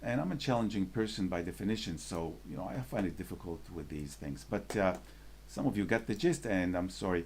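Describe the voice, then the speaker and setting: Very deep and low, this man's voice has vocal fry. He speaks with a non-native accent and lively intonation. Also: fairly quick pace. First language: not English. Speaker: photography salon judging moderator. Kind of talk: live judging session moderation. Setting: live stream video call.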